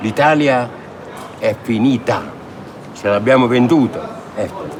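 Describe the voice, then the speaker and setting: Speaking at a very slow pace, a man uses a medium pitch with ordinary pitch variation. Audible room echo and noticeable background noise surround him. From Naples, southern Italy. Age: 80s+. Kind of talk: street interview. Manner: animated.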